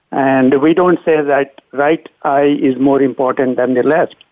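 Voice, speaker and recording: A man's fairly high pitch at a fairly slow pace, a plain, everyday voice. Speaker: surgeon and author. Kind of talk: interview.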